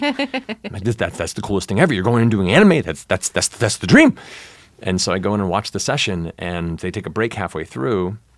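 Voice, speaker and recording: Speaking at a fairly quick pace, a man with a fairly low pitch has an ordinary speaking voice. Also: ordinary pitch variation. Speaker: voice actor. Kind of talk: interview answer. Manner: casual, conversational.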